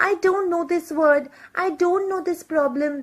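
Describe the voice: Putting on a character voice, a woman speaks at a fairly slow pace. Her pitch is extremely high, squeaky and whiny.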